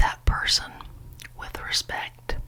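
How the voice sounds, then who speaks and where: A woman is whispering in a soothing tone. Noticeable background noise can be heard. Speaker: ASMR creator. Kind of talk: ASMR whispered ramble. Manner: whispered; soft-spoken, soothing.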